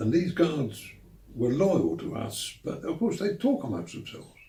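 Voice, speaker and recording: With a London accent, a man speaks in very wide pitch swings over noticeable background noise. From London, England. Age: 80s+. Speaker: war veteran. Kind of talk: interview answer.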